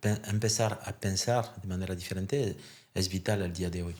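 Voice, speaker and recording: A man with a French accent speaks with fairly even intonation. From France. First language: French (speaking Spanish). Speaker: therapist and therapist trainer. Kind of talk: podcast interview.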